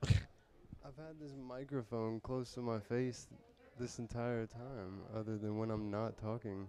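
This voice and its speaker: A soft-spoken man talks at a fairly slow pace in a medium pitch, with a dark, mellow tone and fairly even intonation. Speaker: live-stream show co-host. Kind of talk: casual chat. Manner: quiet.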